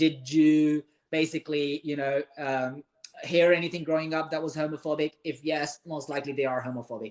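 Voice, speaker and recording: A man's fairly high voice at a moderate pace, monotone and flat, in a dry, close sound with no echo. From Pakistan. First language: Urdu. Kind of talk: live-stream interview.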